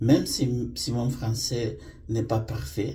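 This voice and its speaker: The voice sounds dark, mellow and somewhat breathy, with audible room echo. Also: man. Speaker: vlogger. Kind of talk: personal storytelling monologue. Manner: halting, many hesitations.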